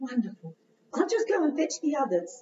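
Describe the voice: A female-sounding, cartoonish character voice at a high pitch, with very wide pitch swings. The pace is moderate.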